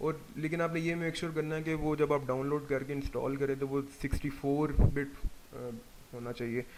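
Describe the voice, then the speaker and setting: The man's voice is fairly high and flat, with monotone intonation. He talks at a moderate pace. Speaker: 3D software instructor. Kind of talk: tutorial.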